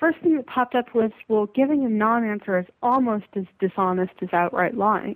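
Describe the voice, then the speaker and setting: A woman speaks at a fairly high pitch and a moderate pace. Her intonation is lively, and the sound is dry and close with no echo. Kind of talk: casual conversation. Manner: hesitant, uses many filler words.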